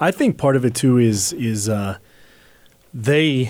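Ordinary pitch variation in a man's plain, everyday voice. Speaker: podcast co-host. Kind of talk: casual religious discussion. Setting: live stream.

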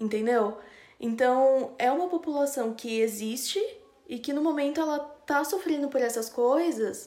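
With a dark, mellow tone, a woman talks at a fairly slow pace in a high pitch, her pitch varying in an ordinary way. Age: 20s. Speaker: podcast producer. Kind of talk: casual chat.

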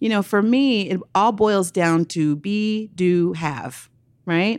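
A woman's animated tone and lively intonation with an American accent, on a very clean recording with a silent background. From Oakland, California. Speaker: nonprofit founder and activist. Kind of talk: interview.

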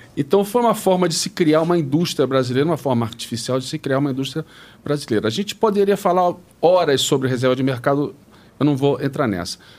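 Very fast, lively intonation from a man with a fairly high pitch. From Brazil, Rio de Janeiro. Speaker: retired tech executive. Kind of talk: interview.

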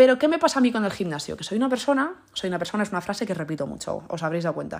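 Talking at a very fast pace, a woman uses vocal fry and very wide pitch swings. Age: 20s. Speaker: podcaster. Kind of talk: casual monologue.

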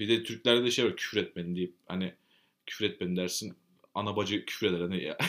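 On a very clean recording with a silent background, a man speaks at a very fast pace. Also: fairly low pitch for a man. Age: 20s. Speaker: podcast co-host. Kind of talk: casual chat. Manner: coquettish, flirtatious way of talking; animated, laughing often.

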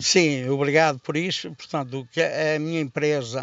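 A man's voice, fairly high in pitch. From Portugal, Resende, Viseu district. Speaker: football club president and businessman. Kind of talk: radio interview. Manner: halting.

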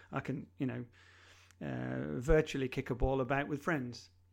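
This is a normal speaking voice on a very clean recording with a silent background. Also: man. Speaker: digital transformation consultant. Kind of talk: casual interview.

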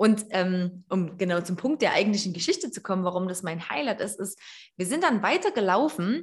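Somewhat breathy, a woman with a medium pitch speaks with lively intonation. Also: moderate pace. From Erzgebirge, Saxony. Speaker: podcast host. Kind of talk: casual chat. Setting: online call.

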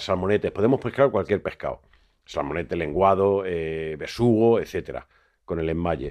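A man delivers his words at a moderate speed and with lively intonation, the background around him quiet. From Madrid, Spain (born in A Coruña). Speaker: fishmonger and seafood expert. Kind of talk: interview. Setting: studio.

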